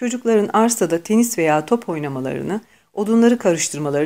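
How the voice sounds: The natural reading voice has lively intonation.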